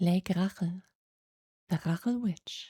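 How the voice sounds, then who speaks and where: Very slowly, a woman speaks at a medium pitch in a calm, soothing, somewhat breathy tone with ordinary pitch variation. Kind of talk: sleep story.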